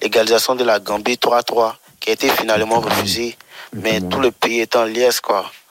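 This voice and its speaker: A man speaks at a moderate pace and medium pitch in a monotone, flat intonation, with a dry, close sound with no echo and noticeable background noise. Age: 20s. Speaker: radio listener caller. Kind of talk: radio call-in.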